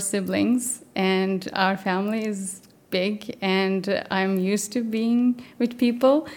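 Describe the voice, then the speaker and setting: A woman speaks at a very slow pace with a Turkish accent. Her intonation stays fairly even. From Turkey. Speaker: mathematician, postdoctoral researcher. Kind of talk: interview. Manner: hesitant, many fillers.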